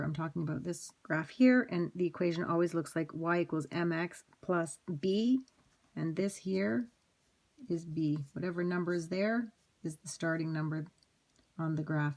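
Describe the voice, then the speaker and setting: A woman with an unremarkable speaking voice, fairly low in pitch, talks at a moderate pace. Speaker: math teacher. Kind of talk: lecture.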